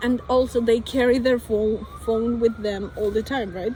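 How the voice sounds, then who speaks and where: A woman with a Spanish accent talks at a fairly slow pace in a fairly high pitch. Her intonation is monotone and flat, and background noise is noticeable. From Colombia. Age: 20s. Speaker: vlogger. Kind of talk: casual monologue. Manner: halting.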